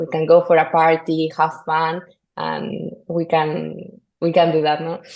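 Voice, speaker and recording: A woman's fairly low voice with a Spanish accent. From northern Spain. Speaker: golf course superintendent. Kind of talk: podcast interview. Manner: halting, many fillers and repetitions.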